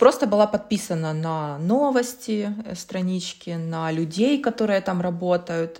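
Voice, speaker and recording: Her pace is fairly slow, in a normal speaking voice. The woman's pitch is medium. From Ukraine, Kyiv. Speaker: startup consultant and social entrepreneur. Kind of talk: casual interview. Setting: video call.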